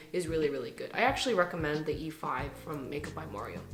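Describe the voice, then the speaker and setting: Audible room echo and noticeable background noise behind a female speaker. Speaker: beauty vlogger. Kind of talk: casual product review. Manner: chatty.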